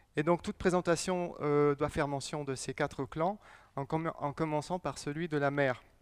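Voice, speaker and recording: A man at a fairly high pitch and fairly slow pace with fairly even intonation, dry and close with no echo on a very clean recording with a silent background. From US Southwest, Navajo Nation. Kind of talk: public lecture. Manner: slow and deliberate; hesitant, many fillers.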